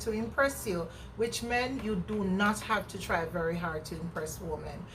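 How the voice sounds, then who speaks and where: In a room with audible echo, a woman with a Jamaican accent speaks at a fairly slow pace, her tone animated and her intonation lively. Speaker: vlogger. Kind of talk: casual chat. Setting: outdoors.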